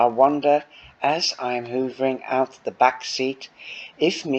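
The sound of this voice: An unforced voice, reading.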